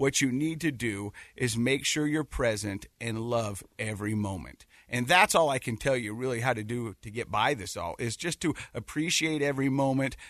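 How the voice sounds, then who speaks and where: This is a normal speaking voice with an American accent, moving at a moderate pace with ordinary pitch variation. The background is quiet. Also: man, medium pitch for a man. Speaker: podcast co-host and dad. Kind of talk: casual radio interview. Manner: jokey, friendly.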